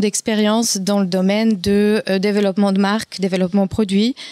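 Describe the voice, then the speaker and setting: With a Polish accent, a woman speaks in a dark, mellow tone, recorded with a dry, close sound with no echo. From Poland. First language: Polish (speaking French). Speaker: entrepreneur, former marketing manager. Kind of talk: round-table discussion.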